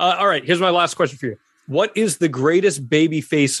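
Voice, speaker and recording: The sound is dry and close, with no echo. It is an ordinary speaking voice. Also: man. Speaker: podcast host. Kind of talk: podcast hosting with ad reads.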